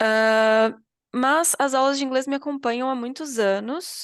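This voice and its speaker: A woman speaks at a moderate pace. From Brazil, southern Minas Gerais (Itajubá). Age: 30s. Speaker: English teacher. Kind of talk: online class introduction. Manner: casual, hesitant with many fillers.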